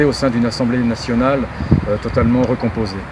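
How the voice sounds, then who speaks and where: A man speaks over noticeable background noise. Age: 60s. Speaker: parliamentary candidate's running mate. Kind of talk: campaign self-presentation. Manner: halting, many hesitations.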